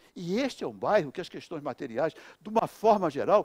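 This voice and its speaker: A man's high-pitched voice at a moderate pace, dry with no echo, over a quiet background. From Brazil, Minas Gerais (Cambuquira); Minas Gerais, Brazil. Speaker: spiritist lecturer. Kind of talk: lecture. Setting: spiritist center, live audience. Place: hall. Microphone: headset.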